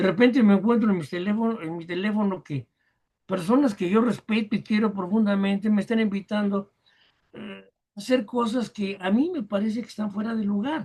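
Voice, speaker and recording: Here a man speaks at a high pitch and a moderate pace. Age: 80s+. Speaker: rock keyboardist and teacher. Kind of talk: podcast interview.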